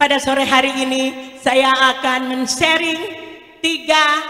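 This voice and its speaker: A woman speaks in a raised, projected voice at a very slow pace. Her pitch is high, with ordinary variation. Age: 60s. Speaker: multi-level marketing sales leader. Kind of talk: product presentation.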